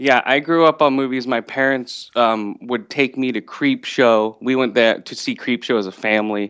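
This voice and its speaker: A man with an American accent speaks in an unremarkable speaking voice at a moderate pace and medium pitch, with fairly even intonation and hardly any pauses. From US West Coast. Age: 40s. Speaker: podcast host. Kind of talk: casual chat.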